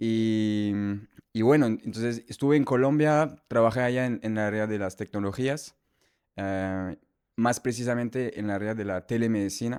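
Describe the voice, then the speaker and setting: A man speaks at a moderate pace and medium pitch. His pitch variation is ordinary, and the background is quiet. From France. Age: young. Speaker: medicinal mushroom entrepreneur. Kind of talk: podcast interview. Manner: halting, many repetitions and fillers.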